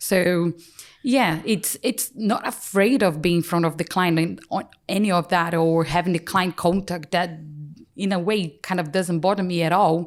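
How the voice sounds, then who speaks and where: Captured in a very clean recording with a silent background, a woman with a Brazilian accent keeps her loudness very even. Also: fairly low pitch for a woman, ordinary pitch variation, moderate pace. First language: Portuguese. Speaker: chartered paraplanner and practice lead. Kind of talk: podcast interview answer.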